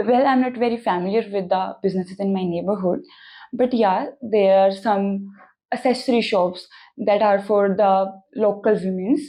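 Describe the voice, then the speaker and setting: A woman's dark, mellow, medium-pitched voice with an Indian accent, moderate pace, ordinary pitch variation and very even loudness, against a quiet background. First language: Hindi. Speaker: language test candidate. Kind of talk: mock speaking exam interview. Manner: hesitant with fillers.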